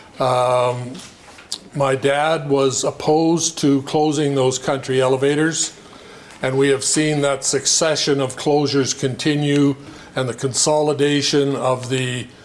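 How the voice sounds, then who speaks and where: Over noticeable background noise, a man speaks at a fairly slow pace with a Canadian prairie accent. His pitch is fairly high, his intonation monotone and flat, and his loudness very even. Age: 70s. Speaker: farmer. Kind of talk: public meeting self-introduction. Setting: community meeting hall, no microphone. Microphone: no microphone, speaking to the room.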